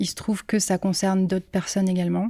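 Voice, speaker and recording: Captured in a very clean recording with a silent background, a woman's voice has a dry, close sound with no echo. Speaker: singer-songwriter. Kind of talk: interview. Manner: hesitant, many fillers.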